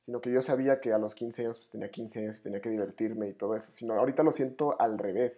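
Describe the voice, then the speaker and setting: A man with a medium pitch talks at a very fast pace with hardly any pauses, fairly even intonation and big swings in loudness. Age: 20s. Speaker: podcast co-host. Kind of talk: casual chat.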